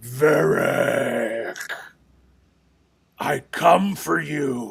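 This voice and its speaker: In a put-on character voice, a man sounds raspy at a fairly high pitch. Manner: menacing.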